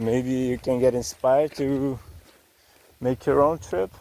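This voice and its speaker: His tone is dark and mellow. The speaker, a man, talks at a medium pitch. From Belgium, Dutch-speaking (Flanders). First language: Dutch. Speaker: travel vlogger. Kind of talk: vlog narration while hiking. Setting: outdoors on a hiking trail. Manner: hesitant, many fillers.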